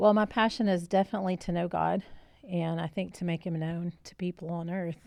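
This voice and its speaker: A woman with an ordinary speaking voice talks at a fairly quick pace in a fairly low pitch, her intonation fairly even but her loudness swinging widely, against a quiet background. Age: 60s. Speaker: pastor's wife and ministry co-founder. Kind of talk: podcast interview.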